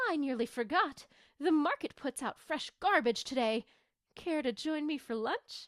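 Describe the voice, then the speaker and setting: A woman uses a put-on character voice at a high pitch. She keeps a moderate pace. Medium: read story.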